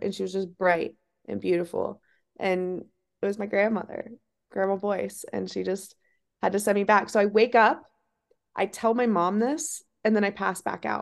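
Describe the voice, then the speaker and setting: In a normal speaking voice, a woman talks at medium pitch. She keeps a moderate pace and fairly even intonation. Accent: American. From Ohio. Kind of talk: interview.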